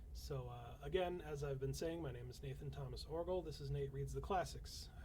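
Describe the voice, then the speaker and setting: Room echo can be heard. A man's speech moves fairly quickly through it. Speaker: fantasy author reading classic literature on stream. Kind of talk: reading aloud a novel with casual asides; casual livestream chat. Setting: livestream at home.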